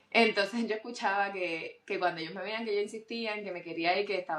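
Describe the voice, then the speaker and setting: Through noticeable background noise, a woman talks at a very fast pace with a medium pitch and fairly even intonation. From Puerto Rico. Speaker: doctor, surgeon. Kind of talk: interview testimony.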